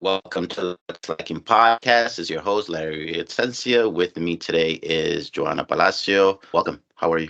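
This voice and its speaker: A man's very deep, low voice with a New York accent, bright and sharp in tone, at a moderate pace with hardly any pauses, ordinary pitch variation, and a dry, close sound with no echo. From Queens, New York. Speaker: podcast host. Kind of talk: casual interview.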